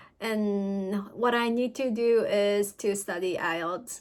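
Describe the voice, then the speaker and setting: In a very clean recording with a silent background, a woman with a Japanese accent speaks with ordinary pitch variation. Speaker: student vlogger. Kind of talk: vlog talk. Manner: halting.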